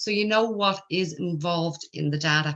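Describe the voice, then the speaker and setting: A woman with an Irish accent speaks in a bright, sharp tone. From Ireland. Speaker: accountant and spreadsheet trainer. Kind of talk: tutorial.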